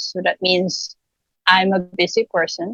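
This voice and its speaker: At a very slow pace, a woman speaks in a dry, close sound with no echo. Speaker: workshop participant, virtual assistant. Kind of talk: testimony. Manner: halting.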